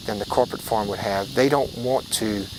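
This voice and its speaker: With an American accent, a man talks at a moderate pace amid noticeable background noise. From South Louisiana (Elton). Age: 50s. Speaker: rice farmer. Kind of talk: interview testimony. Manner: halting.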